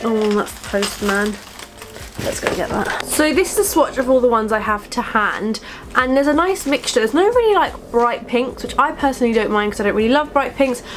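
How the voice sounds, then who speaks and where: Over music in the background, a woman speaks at a high pitch with lively intonation. Her pace is fairly quick. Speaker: beauty vlogger. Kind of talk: casual product review vlog.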